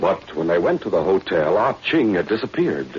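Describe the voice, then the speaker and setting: A man speaks at a moderate pace with a fairly low pitch and very wide pitch swings. Noticeable background noise sits behind him. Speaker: radio drama narrator. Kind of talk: old time radio drama narration.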